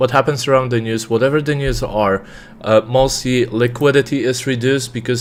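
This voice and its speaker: There is noticeable background noise as a man with a non-native accent speaks. His pace is fairly quick and his intonation fairly even. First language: not English. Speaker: trader. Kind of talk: live trading stream commentary. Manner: many fillers and hesitations.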